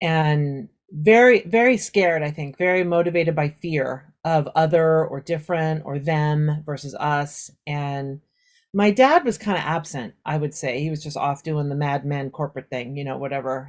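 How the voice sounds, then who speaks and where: On a very clean recording with a silent background, a woman speaks in a very deep, low voice. She keeps a moderate pace. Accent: Southern California. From US West Coast, suburbs of Los Angeles. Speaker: Japanese teacher. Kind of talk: interview conversation. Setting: audio-only podcast recording. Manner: casual, with many fillers.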